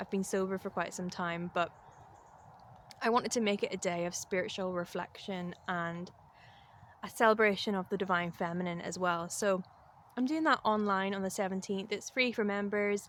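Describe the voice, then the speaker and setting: A woman with a Northern Irish accent speaks at a moderate pace and medium pitch, her intonation fairly even. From Northern Ireland. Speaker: spiritual vlogger and life coach. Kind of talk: casual vlog talk to camera. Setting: outdoors in the woods.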